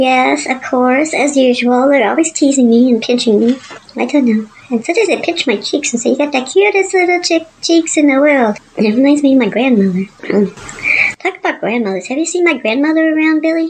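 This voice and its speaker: A woman's put-on character voice, high-pitched and at a fairly quick pace. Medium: audio drama. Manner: bubbly, excitable.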